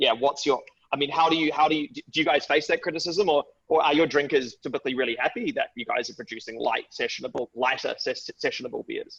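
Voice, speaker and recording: Talking very fast, a man speaks with a New Zealand accent. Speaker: webinar host. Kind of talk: interview.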